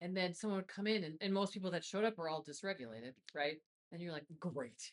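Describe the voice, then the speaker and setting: Her pitch is fairly low for a woman, with lively intonation. She talks at a very fast pace. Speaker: wellness podcast co-host. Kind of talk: casual chat.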